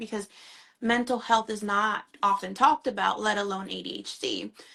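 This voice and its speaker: With a Spanish accent, a woman speaks at a moderate pace in a bright, sharp tone, her fairly high pitch showing ordinary variation. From Honduras. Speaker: mental health therapist. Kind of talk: live interview conversation. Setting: Instagram live video stream.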